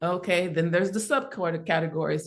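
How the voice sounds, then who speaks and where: This is a woman's voice at a medium pitch. The background is quiet. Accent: Southern US. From south Mississippi, USA. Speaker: artist, musician and advocate. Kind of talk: interview answer.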